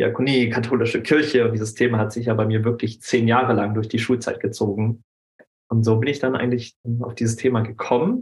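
At a fairly quick pace, a somewhat breathy man speaks at a medium pitch with monotone, flat intonation. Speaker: anti-bullying coach. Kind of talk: casual interview. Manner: halting.

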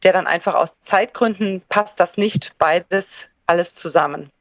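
It is a plain, everyday voice with fairly even intonation, captured with a dry, close sound and no echo. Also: woman. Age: 40s. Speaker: former teacher turned potter. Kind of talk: interview.

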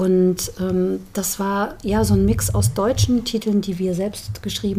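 This woman's voice has a dark, mellow tone at medium pitch. It sounds somewhat breathy. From Saarland, Saarbrücken. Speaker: singer. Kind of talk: casual interview chat.

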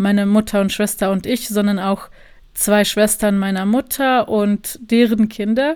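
A woman with a Bosnian accent, moderate pace and monotone, flat intonation. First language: Bosnian (speaking German). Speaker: journalist and filmmaker. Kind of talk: interview.

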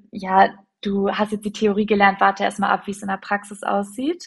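The speech moves at a fairly quick pace, somewhat breathy, with monotone, flat intonation. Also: woman. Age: 20s. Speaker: teacher trainee. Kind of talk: casual chat.

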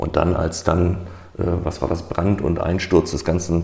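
Over noticeable background noise, a man talks at a fairly slow pace. His voice is very deep and low, with a monotone, flat intonation. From northern Germany, Hamburg. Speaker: IT project manager. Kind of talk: casual chat.

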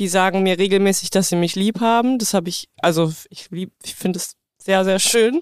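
Recorded dry and close with no echo, a woman with an ordinary speaking voice and medium pitch talks at a moderate pace with fairly even intonation and big swings in loudness. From rural Germany. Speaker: podcast co-host. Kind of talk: casual chat; scripted intro.

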